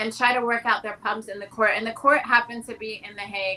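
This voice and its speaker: A woman with an American accent uses a plain, everyday voice, pitched fairly high with fairly even intonation. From Netherlands, American international school. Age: 40s. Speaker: educator and public speaker. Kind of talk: interview.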